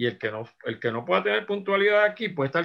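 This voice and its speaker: With very wide pitch swings, the man talks at a fairly quick pace. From Puerto Rico. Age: 70s. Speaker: musician and arranger. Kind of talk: interview.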